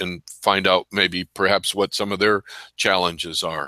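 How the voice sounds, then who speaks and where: A bright, sharp tone in monotone, flat intonation at a fairly slow pace, on a very clean recording with a silent background and a dry, close sound with no echo. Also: man. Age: 70s. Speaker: loan officer. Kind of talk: interview.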